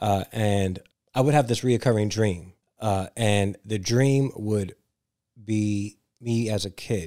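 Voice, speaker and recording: Speaking at a very slow pace, a man with a New York accent uses a dark, mellow tone, fairly low pitch and fairly even intonation. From New York City (Brooklyn, Staten Island). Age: 40s. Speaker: author and educator. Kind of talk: casual interview.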